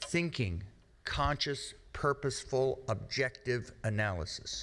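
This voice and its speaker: A man with an American accent speaks at a medium pitch on a very clean recording with a silent background. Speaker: risk communication speaker. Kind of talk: lecture. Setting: stage with audience. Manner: slow.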